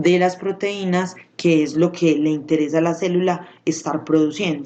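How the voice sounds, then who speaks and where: This woman's voice has a dark, mellow tone and a fairly low pitch. She speaks at a moderate pace with fairly even intonation. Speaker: school science teacher. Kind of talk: recorded video lesson.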